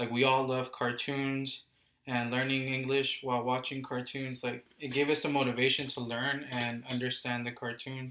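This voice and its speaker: At a moderate pace, a man talks in a medium pitch with a bright, sharp tone and a monotone, flat intonation. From Houston, Texas. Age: 20s. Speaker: interviewee. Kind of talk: interview.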